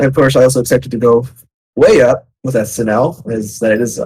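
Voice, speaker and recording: Somewhat breathy, a man talks at a fairly quick pace with fairly even intonation. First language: Spanish. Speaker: game developer. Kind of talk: live Q&A. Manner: halting.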